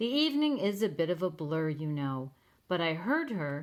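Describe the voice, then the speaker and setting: A female-sounding put-on character voice talks at a moderate pace and a middle pitch. The recording is very clean, with a silent background. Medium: read story. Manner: courteous, genteel.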